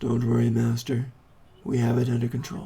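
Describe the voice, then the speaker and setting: A man's raspy, put-on character voice at a medium pitch, moving at a fairly quick pace. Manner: calm, serene, ethereal, unemotional.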